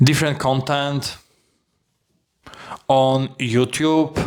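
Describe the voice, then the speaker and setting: With a non-native accent, a man speaks very slowly at a medium pitch in a monotone, flat delivery. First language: not English. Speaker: language learner vlogger. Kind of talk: personal vlog monologue. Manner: halting.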